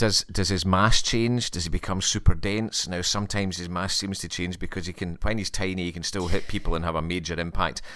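Fairly quick and with hardly any pauses, a man speaks in a very deep, low pitch. His tone is bright and sharp, his intonation fairly even. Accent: Scottish. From Scotland. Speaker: podcast guest. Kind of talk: casual chat.

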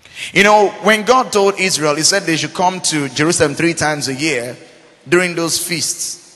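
Against noticeable background noise, a man speaks in an animated tone at a high pitch with ordinary pitch variation. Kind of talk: sermon. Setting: church with a congregation. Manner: rhetorical call-and-response, asking 'Are we together?'.

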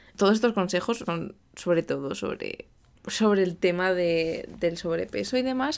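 In a very clean recording with a silent background, a woman speaks at a fairly slow pace with a medium pitch and ordinary pitch variation. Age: 20s. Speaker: podcast host, translator. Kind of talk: solo monologue, casual advice talk. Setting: home recording in bedroom.

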